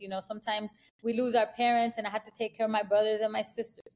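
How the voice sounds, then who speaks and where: A woman speaks at a fairly high pitch. She has an American accent. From US West Coast, inner-city Los Angeles. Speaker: life insurance executive. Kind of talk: interview. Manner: animated.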